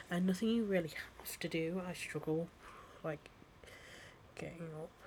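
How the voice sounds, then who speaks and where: In an English accent, a woman speaks with fairly even intonation. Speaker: podcast host. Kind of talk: casual solo monologue intro. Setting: recording at home while on TikTok Live.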